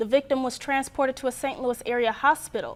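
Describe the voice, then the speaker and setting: A woman's high-pitched voice at a very fast pace with fairly even intonation. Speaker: student news producer and anchor. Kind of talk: television newscast anchor read.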